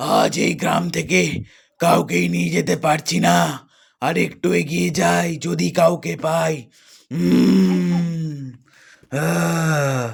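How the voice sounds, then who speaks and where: A man's raspy, cartoonish character voice, very deep and low-pitched, at a very slow pace. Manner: growling, menacing.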